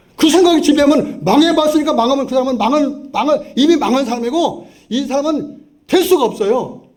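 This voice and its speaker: Amid audible room echo, a man speaks in an animated tone at an extremely high pitch with lively intonation. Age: 70s. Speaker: pastor. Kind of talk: sermon. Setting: church.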